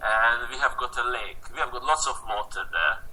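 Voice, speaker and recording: A man talks with a Hungarian accent. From Hungary, rural village. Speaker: photographer. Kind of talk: interview. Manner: halting.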